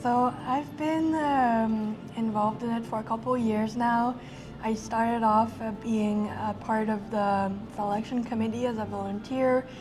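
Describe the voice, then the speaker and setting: With a French accent, a woman speaks at a fairly slow pace and fairly high pitch. Her intonation is fairly even, and room echo can be heard. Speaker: film festival director. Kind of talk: interview. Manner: halting, many fillers.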